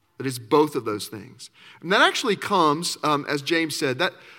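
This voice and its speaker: With a Southern US accent, a man talks at a fairly quick pace in a fairly high pitch and a bright, sharp tone, on a very clean recording with a silent background. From Arkansas. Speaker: campus minister. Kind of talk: sermon.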